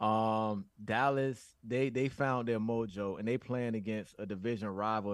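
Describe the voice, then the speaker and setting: Over a very clean recording with a silent background, a man with an American accent has an unremarkable speaking voice. His pitch is fairly low, his intonation fairly even and his pace moderate. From US South. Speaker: football analyst. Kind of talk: casual chat.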